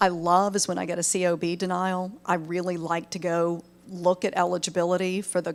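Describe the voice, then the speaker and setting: A woman with a Southern US accent speaks at a medium pitch. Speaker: medical billing trainer. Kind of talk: webinar presentation. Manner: conversational.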